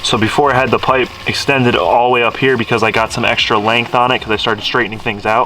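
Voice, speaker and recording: Over noticeable background noise, a man at medium pitch speaks at a very fast pace in a flat monotone, with hardly any pauses. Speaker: car modding vlogger. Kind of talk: casual vlog. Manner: casual, filler-heavy.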